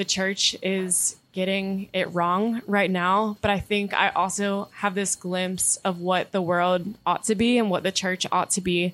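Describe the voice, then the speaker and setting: In an American accent, a woman speaks at a fairly slow pace. Her intonation is monotone and flat. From North Carolina, Durham area. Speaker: divinity student. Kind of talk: casual chat.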